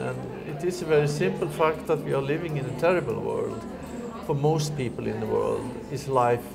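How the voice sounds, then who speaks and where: A man talks with ordinary pitch variation while music runs behind him. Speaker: interviewee. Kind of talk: interview answer. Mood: earnest, reflective. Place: home room.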